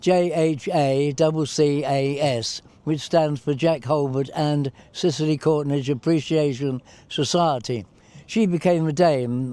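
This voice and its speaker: With an English accent, a man speaks at a fairly slow pace in a dark, mellow tone, his pitch fairly high, his intonation fairly even and his loudness very even. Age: 80s+. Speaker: war veteran. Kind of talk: interview. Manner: hesitant.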